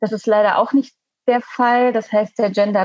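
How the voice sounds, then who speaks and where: A woman with a fairly high pitch talks with fairly even intonation. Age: 20s. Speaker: Green party parliamentary candidate. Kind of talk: casual interview. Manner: halting, many fillers.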